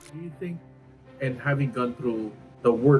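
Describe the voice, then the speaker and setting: This man keeps a moderate pace and ordinary pitch variation while music plays in the background. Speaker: interviewer. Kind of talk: interview questions.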